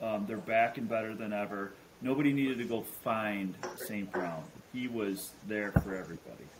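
A man with an American accent speaks at a moderate pace in a fairly low pitch, his pitch varying in an ordinary way over noticeable background noise. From Chicago. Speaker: fantasy football podcast host. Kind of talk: casual chat. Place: home room.

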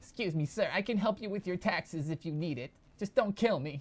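A man shouting in a put-on character voice, high-pitched and at a fairly quick pace. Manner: nervous, yelling, pleading.

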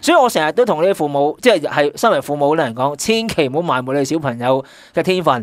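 With an ordinary speaking voice, a fairly high-pitched man talks at a fairly quick pace with lively intonation and hardly any pauses over a quiet background. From Hong Kong. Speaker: guest co-host, sportswear marketing veteran. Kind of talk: casual chat. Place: studio.

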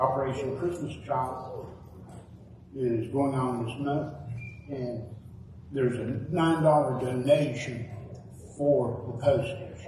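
Very slow, with long, frequent pauses and fairly even intonation, a man speaks amid audible room echo and light background noise. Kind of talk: church announcements. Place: church.

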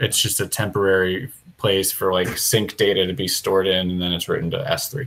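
A man's fairly low voice at a fairly quick pace, with fairly even intonation. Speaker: software developer leading a planning meeting. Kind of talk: technical meeting discussion. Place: home room. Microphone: earbuds.

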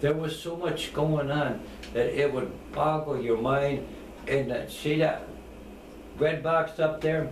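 A man with a fairly high pitch speaks at a very slow pace with long, frequent pauses, amid audible room echo and light background noise. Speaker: war veteran. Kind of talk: interview answer. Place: home room. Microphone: camera far.

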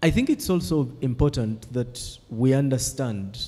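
Somewhat breathy with a dark, mellow tone, a man's voice shows ordinary pitch variation. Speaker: PhD student. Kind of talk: academic discussion. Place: classroom.

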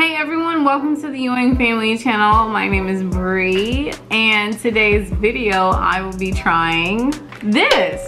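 A woman at a very slow pace with ordinary pitch variation, and clear music in the background. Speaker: family channel vlogger. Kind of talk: casual vlog chat. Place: home room.

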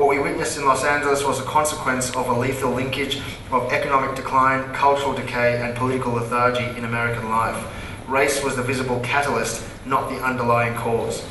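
A man with an Australian accent speaks very fast in a flat monotone, with audible room echo and light background noise. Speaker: comedian and event moderator. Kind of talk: on-stage interview. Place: stage.

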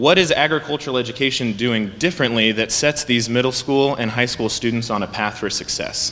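Talking at a fairly quick pace with hardly any pauses, a man uses ordinary pitch variation. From US Midwest. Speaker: agricultural education administrator. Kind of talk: presentation. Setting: stage with audience. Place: hall. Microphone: podium.

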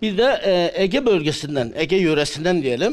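Pitched high, a man's voice moves in very wide pitch swings. He speaks at a fairly slow pace. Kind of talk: interview answer. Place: hall. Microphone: handheld.

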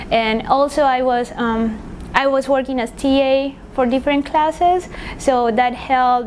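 With a Spanish accent, a woman speaks at a high pitch and fairly slow pace with fairly even intonation, over noticeable background noise. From Paraguay. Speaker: engineering PhD graduate. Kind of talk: interview. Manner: hesitant, many fillers.

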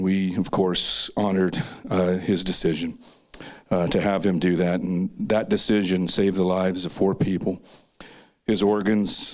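Against a quiet background, a man with a very deep, low pitch talks at a moderate pace in a monotone, flat way. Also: very even loudness. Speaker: presenter. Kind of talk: personal talk to an audience. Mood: somber, grief-related. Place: stage. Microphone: handheld.

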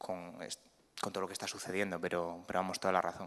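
Against a quiet background, a man speaks in a bright, sharp tone with flat, monotone intonation. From Spain, Cantabria. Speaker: photojournalist. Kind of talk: panel talk. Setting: museum talk with audience. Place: hall. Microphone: podium.

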